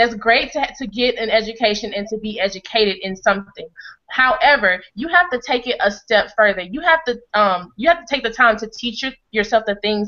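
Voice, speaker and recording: At a moderate pace, a woman speaks in a fairly high pitch with ordinary pitch variation and big swings in loudness. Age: 20s. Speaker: network marketing member sharing testimonial. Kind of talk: testimony. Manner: hesitant, many fillers.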